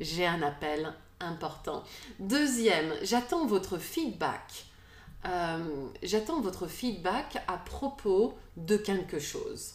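The speech is very slow, with lively intonation. Audible room echo surrounds it. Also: woman, medium pitch for a woman. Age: 40s. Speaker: podcast host. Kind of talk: casual chat. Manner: halting.

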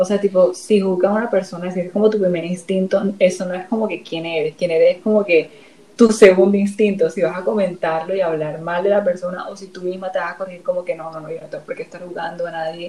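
Amid noticeable background noise, a woman at medium pitch speaks fairly quickly with hardly any pauses, her intonation fairly even but her loudness swinging widely. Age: 20s. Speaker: TikToker. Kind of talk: casual chat.

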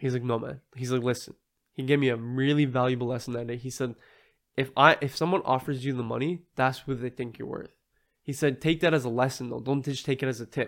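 A man with a normal speaking voice at a medium pitch is heard on a very clean recording with a silent background. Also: fairly even intonation, fairly quick pace. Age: 20s. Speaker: car detailing business owner. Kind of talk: casual interview.

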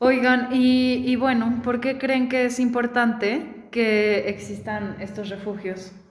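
A woman with a high pitch speaks very slowly and with fairly even intonation, her voice carrying audible room echo. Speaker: podcast host. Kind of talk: casual chat. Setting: recorded in person in a sparsely furnished house. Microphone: echo in the room.

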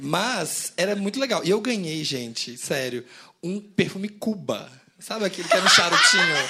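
A man's raised, projected voice, high-pitched with very wide pitch swings, at a moderate pace amid noticeable background noise. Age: 30s. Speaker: podcast co-host. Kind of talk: live podcast recording. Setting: stage with audience.

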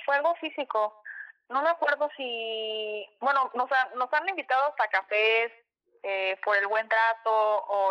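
Very slowly, a woman talks, her pitch varying in an ordinary way. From Mexico, Acapulco (Guerrero). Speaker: airline ground staff. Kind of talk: casual interview. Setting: remote call.

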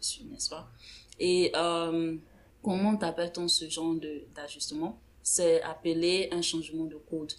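A normal speaking voice from a woman, fairly low in pitch, fairly slow, with fairly even intonation. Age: 20s. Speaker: podcast co-host. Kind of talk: casual chat.

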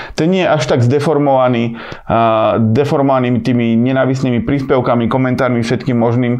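Fairly quick, medium-pitched speech from a man with fairly even intonation and audible room echo. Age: 30s. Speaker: podcast host. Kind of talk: solo podcast monologue. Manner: casual, filler-heavy.

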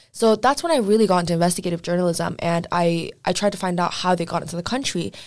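Delivered at a very fast pace with ordinary pitch variation, the voice sits on a very clean recording with a silent background. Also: woman, fairly low pitch for a woman. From Iran, with childhood years in Vancouver. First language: Persian. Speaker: political activist and law student. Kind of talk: casual chat.

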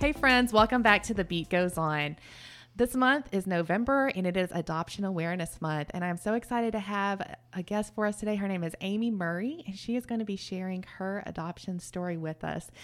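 Over a silent background in a very clean recording, a woman with an American accent and a normal speaking voice talks at a fairly quick pace, medium in pitch, with ordinary pitch variation. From Texas. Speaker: podcast host. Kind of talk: casual interview.

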